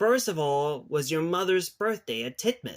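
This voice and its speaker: A man puts on a high-pitched character voice and speaks at a moderate pace. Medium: read story.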